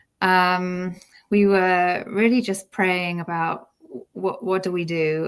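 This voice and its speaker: In a British accent, a woman speaks at a very slow pace with a medium pitch and monotone, flat intonation. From UK. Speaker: homeschooling mother. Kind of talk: interview.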